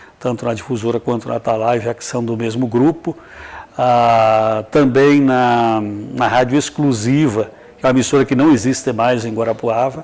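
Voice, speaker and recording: There is noticeable background noise behind a man whose intonation stays fairly even. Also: medium pitch for a man, moderate pace. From southwestern Paraná, Brazil (Capanema). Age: 60s. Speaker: radio and TV broadcaster. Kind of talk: interview.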